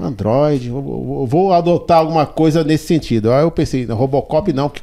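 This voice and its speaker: With a São Paulo accent, a man talks at a moderate pace in a fairly high pitch, his tone dark and mellow and his pitch variation ordinary. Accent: Paulistano Brazilian Portuguese. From São Paulo south zone, Brazil. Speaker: DJ. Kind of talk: interview. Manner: halting, repeats words.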